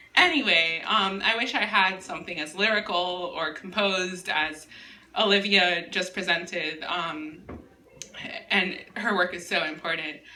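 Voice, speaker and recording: Amid noticeable background noise and audible room echo, a woman with a medium pitch speaks at a fairly slow pace with fairly even intonation. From US, Miami (immigrated at age five). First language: Spanish. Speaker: writer. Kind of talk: casual chat; reading aloud.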